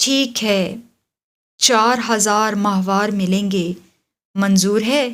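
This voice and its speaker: In a put-on character voice, the drawling delivery moves at a very slow pace with long, frequent pauses and fairly even intonation. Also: woman, medium pitch for a woman. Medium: read story. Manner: intoxicated, drawling.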